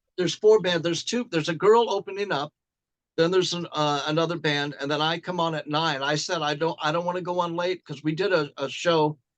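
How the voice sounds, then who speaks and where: This man talks fairly quickly with an American accent. His pitch is fairly high, with ordinary variation. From Glendale, California. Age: 60s. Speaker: rock musician. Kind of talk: casual interview chat.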